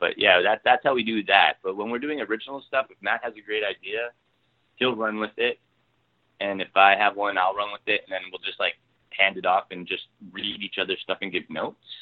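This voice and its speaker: With a Canadian accent, a man with a fairly low pitch and ordinary pitch variation speaks at a fairly quick pace. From Ontario, Canada. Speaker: TV writer and producer. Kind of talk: casual interview. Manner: halting, many fillers and repeats.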